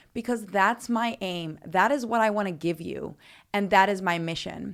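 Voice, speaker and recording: Here a woman speaks with an American accent at a fairly slow pace. Her pitch variation is ordinary, on a very clean recording with a silent background. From Netherlands, raised abroad (Philippines, Africa). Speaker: fitness podcaster, nutritionist and personal trainer. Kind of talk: personal story podcast monologue.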